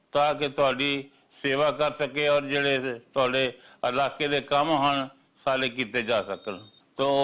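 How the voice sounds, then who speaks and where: A man's fairly high, bright, sharp voice in a flat monotone, on a very clean recording with a silent background. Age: old. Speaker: politician. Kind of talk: political appeal. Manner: halting.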